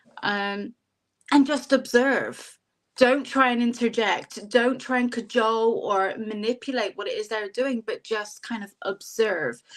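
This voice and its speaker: With a Bristol accent, a woman speaks fairly slowly at a fairly high pitch, her intonation fairly even and her loudness swinging widely. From England, Bristol. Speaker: psychic and life mentor. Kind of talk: casual interview chat.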